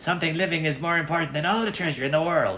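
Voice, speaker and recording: A put-on character voice at a middle pitch and very fast pace, with clear background noise. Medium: read story. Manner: bargaining.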